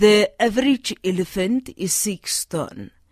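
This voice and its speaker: A woman with a medium-pitched voice and lively intonation, recorded with a dry, close sound and no echo. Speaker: accident survivor and author. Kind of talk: radio interview. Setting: studio.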